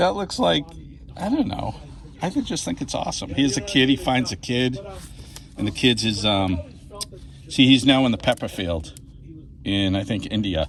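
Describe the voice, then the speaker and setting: With an American accent, a man of medium pitch talks at a moderate pace, his pitch swinging very widely. Long, frequent pauses break up his speech, and noticeable background noise is present. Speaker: comic shop customer. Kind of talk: casual chat. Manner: animated.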